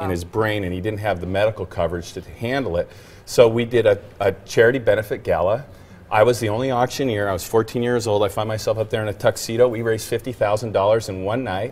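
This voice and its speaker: A man's medium-pitched, somewhat breathy voice at a very fast pace with fairly even intonation. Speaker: celebrity auctioneer. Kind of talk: casual talk show interview answer. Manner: friendly, chatty.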